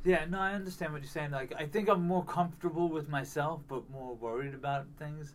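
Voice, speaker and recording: Amid audible room echo, a man speaks fairly high and fairly quickly with hardly any pauses, his loudness swinging widely. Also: ordinary pitch variation. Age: 40s. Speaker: podcast host. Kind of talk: casual chat. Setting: at his mother's home with a portable mic.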